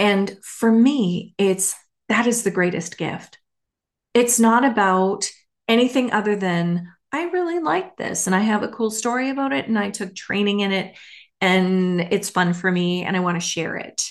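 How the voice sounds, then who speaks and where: Against a quiet background, a woman speaks with a normal speaking voice at a medium pitch and moderate pace, her pitch varying in an ordinary way. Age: 50s. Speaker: podcast host, former government manager. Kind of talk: casual solo monologue.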